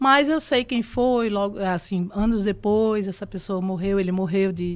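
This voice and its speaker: In a normal speaking voice, a woman of medium pitch talks at a fairly slow pace with ordinary pitch variation on a very clean recording with a silent background. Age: 60s. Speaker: actress. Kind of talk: interview testimony.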